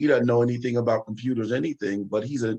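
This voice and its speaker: A man with an American accent talks at a medium pitch in a normal speaking voice. His intonation is fairly even. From Chester, Pennsylvania area. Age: 50s. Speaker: retired FBI agent. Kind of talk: panel discussion.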